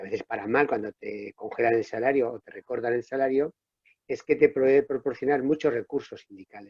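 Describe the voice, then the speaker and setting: A man of medium pitch talks at a fairly quick pace with fairly even intonation and big swings in loudness. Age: 60s. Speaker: public sector trade unionist. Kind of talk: panel discussion. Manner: halting, self-correcting.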